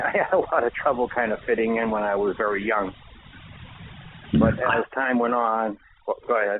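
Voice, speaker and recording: With a Boston accent, a man at a medium pitch speaks at a moderate pace with fairly even intonation and long, frequent pauses. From Boston, Massachusetts (Dorchester). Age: 60s. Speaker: author. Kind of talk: radio interview. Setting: radio show.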